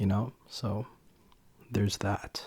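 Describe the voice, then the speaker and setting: Soft-spoken and somewhat breathy, a man speaks very slowly in a dark, mellow tone. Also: very clean recording, silent background. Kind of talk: ASMR soft-spoken ramble to camera. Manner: soft-spoken, chatty.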